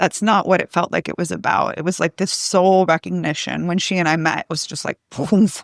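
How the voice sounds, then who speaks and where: The voice moves at a fairly slow pace, with vocal fry and fairly even intonation. The sound is dry and close with no echo, on a very clean recording with a silent background. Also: woman. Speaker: hypnosis practitioner and intuitive coach. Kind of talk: podcast interview. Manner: shaky voice when sharing.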